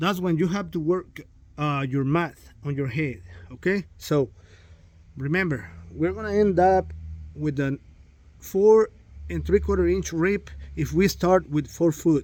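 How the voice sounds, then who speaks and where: With a Spanish accent, a man talks at a fairly slow pace, leaving long, frequent pauses. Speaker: drywall contractor. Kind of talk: tutorial; casual chat. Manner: halting, many fillers.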